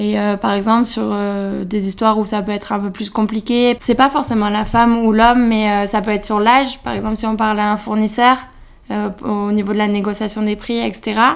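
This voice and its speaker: A woman's fairly high voice in monotone, flat intonation at a moderate pace. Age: 20s. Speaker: culinary student. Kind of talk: interview. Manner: hesitant, many fillers.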